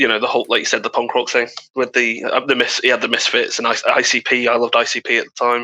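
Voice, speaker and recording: Very fast and very even in loudness, a man speaks with a British accent. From UK. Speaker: podcast co-host. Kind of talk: casual chat.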